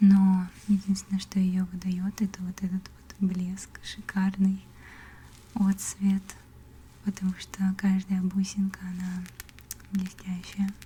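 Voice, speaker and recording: A woman at a medium pitch with a gentle tone, monotone and flat, very slow with long, frequent pauses, over noticeable background noise. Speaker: ASMR content creator and artist. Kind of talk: casual talk to camera, ASMR whisper. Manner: soft, whispered, gentle.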